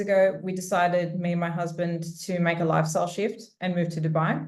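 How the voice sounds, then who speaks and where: A woman with an Australian accent speaks at a fairly low pitch. Audible room echo surrounds her voice. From Australia, Sydney. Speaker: corporate lawyer. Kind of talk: webinar panel talk.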